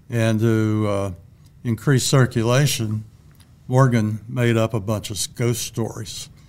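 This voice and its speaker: A man's medium-pitched voice with an American accent, at a very slow pace with monotone, flat intonation. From Bellbrook, Ohio. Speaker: retired teacher, local historian. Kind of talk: casual interview, storytelling.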